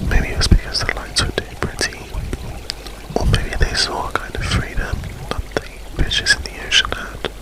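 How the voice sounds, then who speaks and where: A man whispers at a moderate pace with music playing in the background. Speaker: ASMR creator. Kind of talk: improvised ASMR story. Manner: whispered, soft-spoken.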